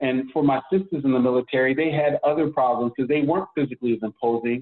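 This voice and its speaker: A man with an American accent talks at a very fast pace with ordinary pitch variation. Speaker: consultant and strategist, military veteran. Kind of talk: podcast interview. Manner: conversational, with frequent fillers.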